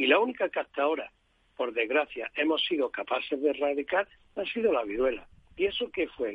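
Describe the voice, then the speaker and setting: At a fairly quick pace, a man speaks in a fairly high pitch with very wide pitch swings. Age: 70s. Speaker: doctor, head of a medical association. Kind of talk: radio interview.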